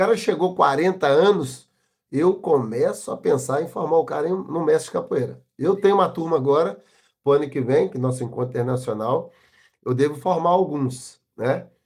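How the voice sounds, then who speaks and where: Here a man uses a plain, everyday voice at a fairly high pitch, keeping a moderate pace and lively intonation. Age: 60s. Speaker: capoeira master. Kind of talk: interview. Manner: casual, uses slang fillers.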